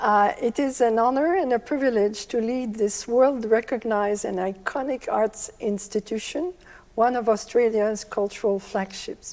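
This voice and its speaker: A woman's dark, mellow tone at a fairly slow pace. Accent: French Canadian. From Quebec, Canada (Montreal). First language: French. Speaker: orchestra managing director. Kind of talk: prepared speech.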